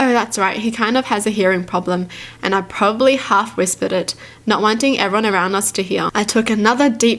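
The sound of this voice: The voice is an unforced reading voice. Its pitch rises and falls by ordinary amounts.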